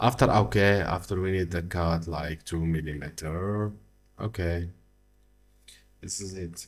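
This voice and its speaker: With music in the background, a man talks fairly slowly in a very deep, low pitch. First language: French. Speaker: software tutorial creator. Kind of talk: tutorial. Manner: halting, many fillers.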